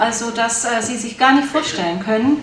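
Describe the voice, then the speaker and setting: A woman's fairly high voice with ordinary pitch variation, at a moderate pace, over noticeable background noise. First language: German. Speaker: conference organizer and moderator. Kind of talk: opening welcome speech at a conference. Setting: conference hall with audience. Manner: formal, somewhat hesitant with fillers.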